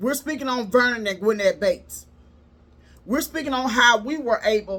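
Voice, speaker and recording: A woman speaks with a bright, sharp tone. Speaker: relationship coach and live streamer. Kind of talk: casual live stream talk. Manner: rises in pitch when sincere, can sound upset.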